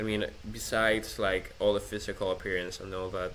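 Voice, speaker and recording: The speaker is a man. His speech carries a non-native accent. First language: not English. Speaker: vlogger. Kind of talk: personal rant monologue. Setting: self-recorded, improvised setup. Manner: halting, many restarts.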